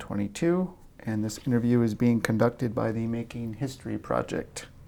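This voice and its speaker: Here a man talks in a normal speaking voice at medium pitch and a moderate pace. The recording is very clean, with a silent background. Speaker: oral history interviewer. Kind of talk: interview questions.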